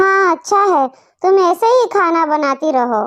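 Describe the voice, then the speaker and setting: A female-sounding cartoonish character voice, squeaky and extremely high in pitch. It moves at a fairly slow pace. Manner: commanding.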